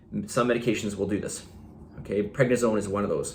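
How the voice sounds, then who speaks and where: In a room with audible echo, a man with a fairly low pitch speaks at a fairly quick pace. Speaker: fitness coach. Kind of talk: video monologue. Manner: casual, with fillers.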